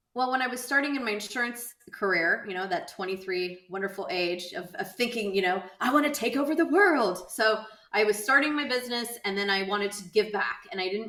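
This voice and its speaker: A woman talking at a fairly quick pace amid noticeable background noise. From Southern California. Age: 40s. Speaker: insurance entrepreneur and nonprofit founder. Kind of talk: podcast interview. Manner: casual, with many fillers.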